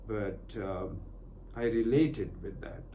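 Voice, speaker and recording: With a Punjabi accent, the speaker talks at a very slow pace in a dark, mellow, somewhat breathy tone, with audible room echo in the recording. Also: man. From Pakistan, Punjab. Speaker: meditation and spiritual teacher. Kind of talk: personal testimony in a meditation session. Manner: halting, many fillers.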